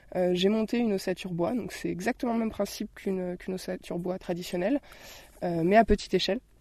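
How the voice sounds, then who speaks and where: Against a quiet background, a woman with a medium-pitched voice talks fairly quickly with ordinary pitch variation, the sound dry and close with no echo. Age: 20s. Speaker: designer living in a tiny house. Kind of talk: interview. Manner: halting, many fillers and repetitions.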